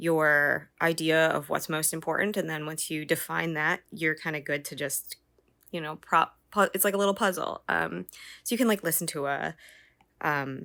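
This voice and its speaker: In a very clean recording with a silent background, a woman with an American accent speaks at a moderate pace, her very deep, low voice bright and sharp in tone, with vocal fry and ordinary pitch variation. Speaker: 3D artist and tutorial creator. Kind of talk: tutorial. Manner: casual, many filler words.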